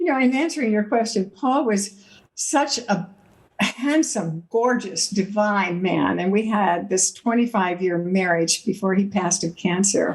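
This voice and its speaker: At a fairly slow pace, a woman with a medium-pitched, somewhat breathy voice speaks with lively intonation and very even loudness. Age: 80s+. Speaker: author. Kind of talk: interview.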